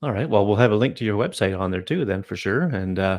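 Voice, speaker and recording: With a Canadian accent, a man speaks in a normal speaking voice, fairly low in pitch with ordinary pitch variation, against a quiet background. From Canada. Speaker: podcast host. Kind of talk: casual chat. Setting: live video stream.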